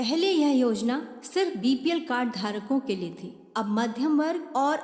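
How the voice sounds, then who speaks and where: A woman's high voice rises and falls with lively intonation. Noticeable background noise sits behind her. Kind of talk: political campaign voice-over.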